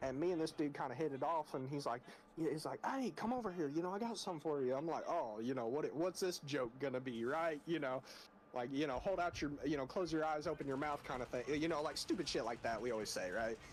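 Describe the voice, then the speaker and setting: Talking at a very fast pace with very even loudness, a man uses a fairly high pitch and ordinary pitch variation. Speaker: gaming streamer. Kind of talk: casual chat. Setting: live stream.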